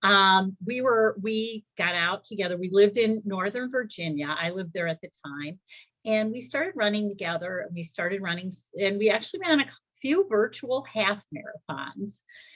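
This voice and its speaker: With an American accent and an unremarkable speaking voice, a woman at medium pitch talks at a moderate pace with lively intonation and big swings in loudness. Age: 60s. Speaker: first-time marathoner. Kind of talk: testimony.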